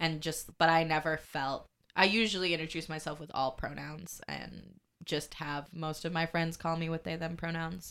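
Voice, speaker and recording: A woman with vocal fry speaks at a moderate pace in a fairly low pitch. Her intonation is flat and monotone, and the recording is very clean with a silent background. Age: 20s. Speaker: podcast guest, climate activist. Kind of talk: casual chat. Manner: halting.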